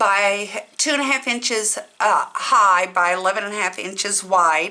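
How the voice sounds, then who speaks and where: Over noticeable background noise, a woman with a fairly high voice talks at a fairly slow pace. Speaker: crafting channel host. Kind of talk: tutorial.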